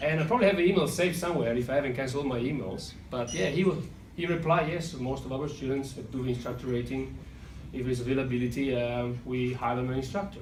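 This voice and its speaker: A man at a medium pitch with an Italian accent, ordinary pitch variation and a very fast pace, amid audible room echo and noticeable background noise. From Italy. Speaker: airline pilot. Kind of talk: graduation speech. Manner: halting, with self-corrections.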